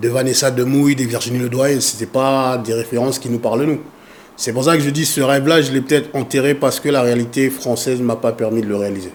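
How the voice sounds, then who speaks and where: Over noticeable background noise, a man talks at medium pitch. His pace is fairly quick and his intonation fairly even. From Congo, raised in France. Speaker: foundation president and activist. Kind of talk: interview.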